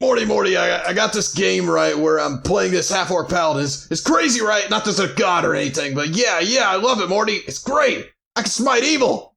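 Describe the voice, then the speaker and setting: Putting on a character voice, a man speaks at a high pitch and a fairly quick pace with hardly any pauses. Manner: stuttering, rambling.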